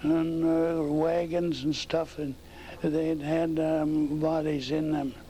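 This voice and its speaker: This man's voice sits fairly high. His intonation is monotone and flat. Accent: American. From North Dakota, US Upper Midwest. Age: 90s. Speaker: oral history interviewee. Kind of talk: oral history interview. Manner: halting.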